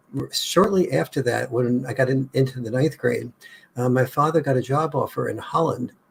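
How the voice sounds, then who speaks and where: Somewhat breathy and medium in pitch, a man talks with an American accent. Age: 70s. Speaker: author. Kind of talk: interview.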